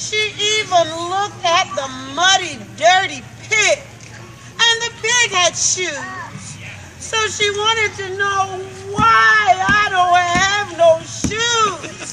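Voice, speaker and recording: Against crowd noise in the background, a woman uses a raised, projected voice at an extremely high pitch, speaking at a very slow pace with ordinary pitch variation. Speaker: storyteller. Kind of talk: folk tale storytelling to children.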